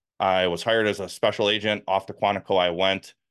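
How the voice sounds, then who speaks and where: A man with a Wisconsin accent, very deep and low in pitch, at a fairly quick pace. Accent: northern US (Wisconsin). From US Midwest, Milwaukee, Wisconsin. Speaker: former FBI agent and whistleblower. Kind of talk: interview.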